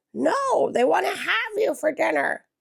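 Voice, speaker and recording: The speaker puts on a high-pitched character voice at a moderate pace. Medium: read story. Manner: cawing.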